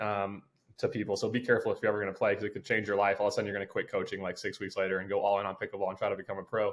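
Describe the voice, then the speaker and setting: A man speaks very fast on a very clean recording with a silent background. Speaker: basketball coach turned pro pickleball player. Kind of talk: podcast interview.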